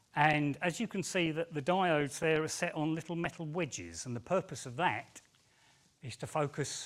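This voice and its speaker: On a very clean recording with a silent background, a man with a London accent talks at a moderate pace in a fairly high pitch. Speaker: engineering technician. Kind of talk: conference talk. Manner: hesitant, with fillers and repeats.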